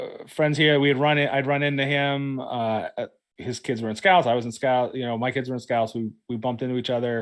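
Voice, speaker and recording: Fairly quick in pace, a man speaks at a medium pitch. His intonation stays fairly even. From western Pennsylvania, Pittsburgh area. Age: 50s. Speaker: pastor and podcast host. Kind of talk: casual chat. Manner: halting, many fillers.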